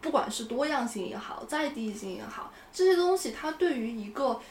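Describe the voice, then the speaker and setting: A woman's high voice makes very wide pitch swings over noticeable background noise and audible room echo. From China, Shandong (Yantai). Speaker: urban planner. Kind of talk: casual conversation.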